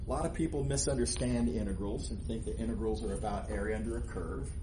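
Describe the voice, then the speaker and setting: At a very fast pace, a man talks with audible room echo. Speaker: math professor. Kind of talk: lecture. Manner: loud.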